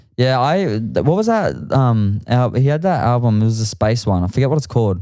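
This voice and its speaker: A man's medium-pitched, dark, mellow voice with an Australian accent, fairly quick, lively in intonation and very even in loudness. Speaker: musician. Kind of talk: casual chat.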